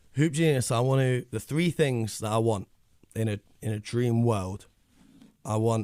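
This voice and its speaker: A man with a London accent speaks at a moderate pace in a medium pitch, his tone dark and mellow, his pitch varying in an ordinary way, with long, frequent pauses. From North London, England. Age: 20s. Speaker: basketball media founder. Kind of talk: radio interview.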